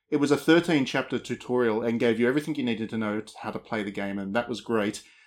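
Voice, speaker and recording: A man with an Australian accent, medium-pitched, with ordinary pitch variation and a very fast pace, on a very clean recording with a silent background. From rural Australia. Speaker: games journalist. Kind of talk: casual chat.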